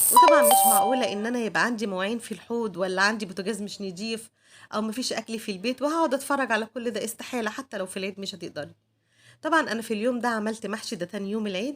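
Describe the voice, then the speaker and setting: Very fast and fairly high-pitched, a woman speaks with ordinary pitch variation in a very clean recording with a silent background. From Egypt. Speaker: homemaker vlogger. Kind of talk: casual vlog narration.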